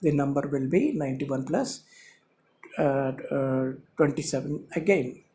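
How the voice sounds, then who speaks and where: Speaking with a Telugu accent at a fairly slow pace, the voice keeps fairly even intonation and takes long, frequent pauses. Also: man, fairly high pitch for a man. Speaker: YouTube channel host. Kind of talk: lecture. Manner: halting, many fillers.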